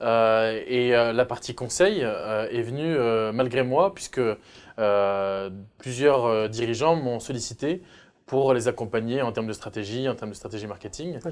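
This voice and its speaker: This man talks at a fairly slow pace, his medium pitch showing ordinary pitch variation. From France. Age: 30s. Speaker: entrepreneur; guest. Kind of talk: interview. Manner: hesitant, many filler sounds. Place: studio. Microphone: lapel.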